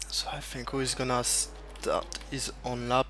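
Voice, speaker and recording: Speaking at a very slow pace with a French accent, a man is heard with audible room echo. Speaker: esports race commentator. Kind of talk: live commentary. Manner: halting.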